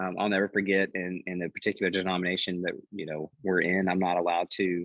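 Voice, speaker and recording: A man with a very deep, low pitch talks at a very fast pace in a monotone, flat intonation. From Texas, Lubbock. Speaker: pastor. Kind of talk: podcast interview. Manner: halting, many repetitions and fillers.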